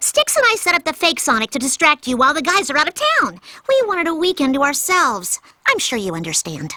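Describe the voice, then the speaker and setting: A female-sounding voice puts on a cartoonish character voice. It is high-pitched and delivered at a very fast pace. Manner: bright, sassy.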